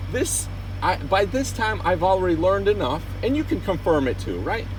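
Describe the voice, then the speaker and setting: A man talks with noticeable background noise and audible room echo both in the recording. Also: moderate pace. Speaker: truck driver. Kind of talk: casual chat. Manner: loud.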